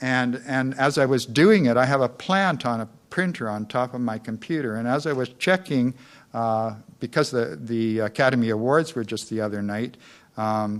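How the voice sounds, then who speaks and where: In a very clean recording with a silent background, a man at medium pitch speaks at a moderate pace with a Western Canadian accent and ordinary pitch variation. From Canada, North Vancouver, British Columbia. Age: 60s. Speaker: community activist giving a lecture. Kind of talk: public lecture. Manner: hesitant, many fillers.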